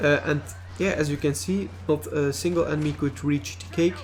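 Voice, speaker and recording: Over background music, a man with a fairly high pitch speaks at a moderate pace with lively intonation. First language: not English. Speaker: video game reviewer. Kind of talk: gameplay commentary. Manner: halting, many fillers.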